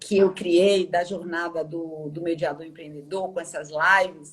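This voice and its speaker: In a Bahian accent, a woman speaks at a very slow pace. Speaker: interviewer and mediation mentor. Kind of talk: live-stream interview. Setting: online live stream. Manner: warm, hesitant.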